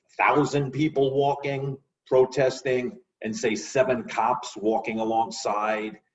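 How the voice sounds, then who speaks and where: A man's medium-pitched voice in a New York accent, with lively intonation and a fairly slow pace. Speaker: guest. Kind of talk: casual chat. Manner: halting, repeats words.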